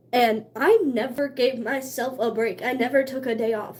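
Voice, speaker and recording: A woman's high, animated voice at a fairly slow pace. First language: Cherokee (largely forgotten). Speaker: streamer. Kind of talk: casual chat.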